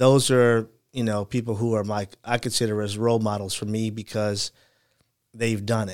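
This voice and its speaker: A man's fairly low voice with monotone, flat intonation, an American accent and a moderate pace. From Chicago. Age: 40s. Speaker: entrepreneur, former teacher. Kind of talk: casual chat.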